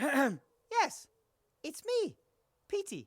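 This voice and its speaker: High in pitch, this put-on character voice swings very widely up and down. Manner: funny, put-on voice.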